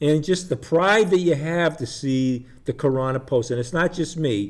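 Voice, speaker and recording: This man has a plain, everyday voice and an American accent. His pitch is fairly high, with ordinary variation. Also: moderate pace. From Shrewsbury, New Jersey. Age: 60s. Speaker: community TV host. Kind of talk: casual chat.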